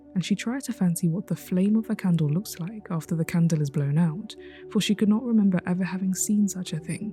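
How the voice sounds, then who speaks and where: Over music in the background, a calm tone moves at a fairly quick pace with ordinary pitch variation. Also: woman, medium pitch for a woman. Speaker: storyteller. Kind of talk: reading aloud.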